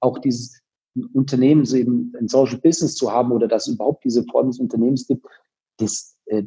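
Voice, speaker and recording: Fairly quick in pace, a man speaks at a medium pitch. His tone is dark and mellow. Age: 40s. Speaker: company founder. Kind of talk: interview. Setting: video call.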